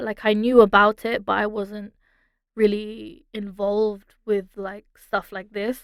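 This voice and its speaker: Speaking fairly slowly in a British accent, a woman's voice sits fairly high. The sound is dry and close with no echo, on a very clean recording with a silent background. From London, England. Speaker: singer-songwriter. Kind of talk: interview. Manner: hesitant, many fillers.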